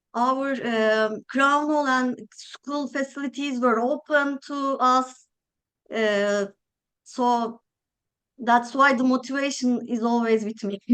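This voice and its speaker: Very slowly and with long, frequent pauses, a woman speaks in a Turkish accent, her high pitch held in fairly even intonation. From Turkey. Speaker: architect. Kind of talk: interview. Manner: hesitant, many filler sounds.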